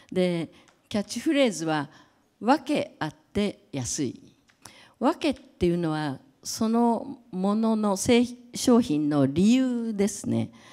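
A woman speaks very slowly at a fairly high pitch with a dark, mellow tone, her pitch swinging very widely and her loudness rising and falling a great deal over a quiet background. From Japan. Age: 70s. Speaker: creative director and brand advisor; speaker. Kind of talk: lecture; public talk. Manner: halting, many fillers. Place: hall. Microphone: handheld.

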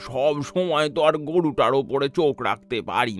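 A man does a gravelly put-on character voice, fairly high in pitch, at a fairly slow pace. Clear music plays in the background. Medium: cartoon. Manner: curt, annoyed, gravely sarcastic.

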